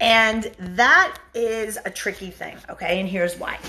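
A woman with an American accent, bright and sharp in tone, with ordinary pitch variation. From New York, Bronx and Long Island; New York. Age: 50s. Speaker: dating and relationship coach; dating coach. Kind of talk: live-stream Q&A monologue. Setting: live stream. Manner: casual, with fillers. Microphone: phone near.

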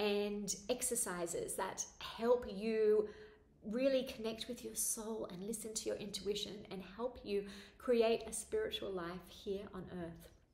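Audible room echo surrounds a woman speaking at a fairly slow pace with a fairly high pitch, fairly even intonation, and big swings in loudness. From Australia. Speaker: spiritual author and meditation teacher. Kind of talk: casual talk to camera introducing a ritual. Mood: warm, gentle, upbeat. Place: home room. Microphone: phone near.

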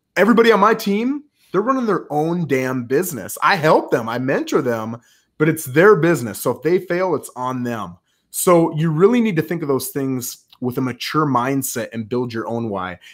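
A man with a fairly high pitch speaks in an energetic tone, his pitch swinging very widely. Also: moderate pace, quiet background. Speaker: real estate agent and team leader, military veteran. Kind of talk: podcast interview. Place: home room.

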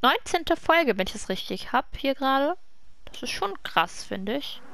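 The speaker talks at a fairly quick pace with very wide pitch swings and big swings in loudness, music playing in the background. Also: woman. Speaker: let's player. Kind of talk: casual gameplay commentary.

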